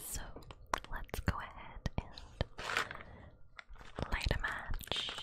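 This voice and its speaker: Whispering at a very slow pace with long, frequent pauses, the voice comes through noticeable background noise. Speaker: ASMR creator. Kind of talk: ASMR talk to camera. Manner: whispered.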